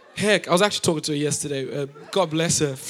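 Very fast talking amid noticeable background noise. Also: man. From Africa. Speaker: pastor. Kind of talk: sermon. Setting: church.

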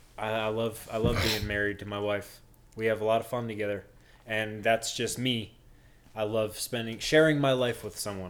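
Speaking at a moderate pace, a man has a normal speaking voice with a fairly low pitch. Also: fairly even intonation. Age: 20s. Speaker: podcast co-host, married father. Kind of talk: casual chat.

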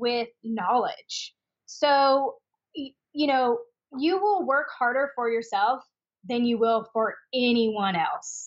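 At a very slow pace, a woman speaks with an American accent. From Washington State (Spokane). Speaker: esthetician and skincare business owner. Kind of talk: interview.

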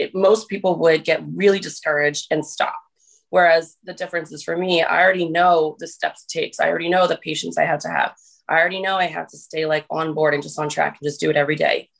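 A woman with an American accent talks very fast at a fairly low pitch, her intonation flat and monotone, with vocal fry and big swings in loudness. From US, New Jersey. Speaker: fitness influencer. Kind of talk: casual interview.

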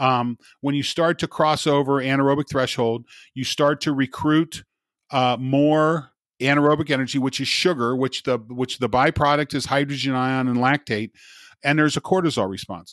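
Recorded very cleanly with a silent background and a dry, close sound with no echo, a man with a fairly high voice speaks at a moderate pace with fairly even intonation. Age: 50s. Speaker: sports scientist. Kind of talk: casual chat.

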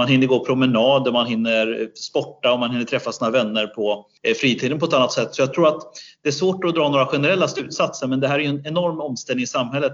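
A man talks at a very fast pace in a fairly high pitch. His pitch varies in an ordinary way. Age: 40s. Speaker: business school researcher. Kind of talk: interview.

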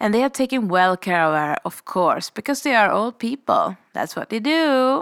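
A woman with a Swedish accent at a moderate pace, very wide pitch swings, and a dry, close sound with no echo on a very clean recording with a silent background. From Sweden, Stockholm. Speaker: podcast host. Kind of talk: storytelling monologue.

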